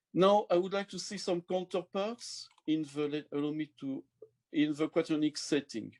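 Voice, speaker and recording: A man with a French accent, high-pitched, with ordinary pitch variation, a fairly slow pace and a quiet background. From France. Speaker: mathematician; mathematics lecturer. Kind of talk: lecture. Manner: halting. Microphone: webcam.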